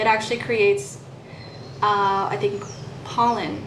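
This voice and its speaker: A fairly slow delivery, with noticeable background noise and audible room echo. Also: woman. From Puerto Rico, raised in US mainland from third grade. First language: Spanish. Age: 30s. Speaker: vlogger. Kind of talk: casual monologue vlog.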